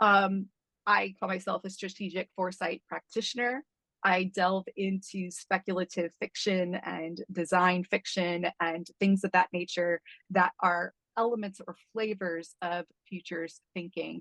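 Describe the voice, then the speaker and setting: A woman speaks with a bright, sharp tone and flat, monotone intonation. The sound is dry and close, without echo. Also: medium pitch for a woman, fairly slow pace. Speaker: strategic foresight consultant. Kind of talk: online presentation. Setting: video call.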